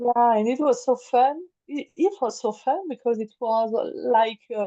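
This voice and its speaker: A woman's high voice at a fairly slow pace, in a French accent, with ordinary pitch variation and a dry, close sound with no echo. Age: 40s. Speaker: creative life coach. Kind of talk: interview. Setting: remote call. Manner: halting, many hesitations and repeats.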